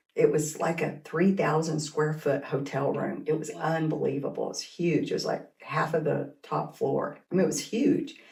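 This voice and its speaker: A woman with an American accent talks with hardly any pauses. Audible room echo surrounds her voice. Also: moderate pace. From Kansas and Oklahoma. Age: 60s. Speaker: teacher and school administrator. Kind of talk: casual interview.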